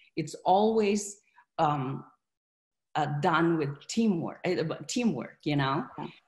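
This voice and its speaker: Against a quiet background, someone talks very slowly and somewhat breathily, with lively intonation and long, frequent pauses. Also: woman, fairly low pitch for a woman. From Philippines. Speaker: real estate investor. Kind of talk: interview. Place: home room. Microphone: video call.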